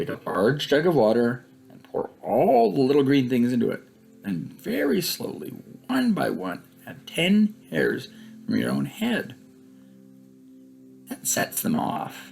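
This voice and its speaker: Whispering in a creaky, put-on character voice, a man goes at a fairly slow pace with long, frequent pauses while faint music plays in the background. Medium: read story. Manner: whispery, coaxing, secretive.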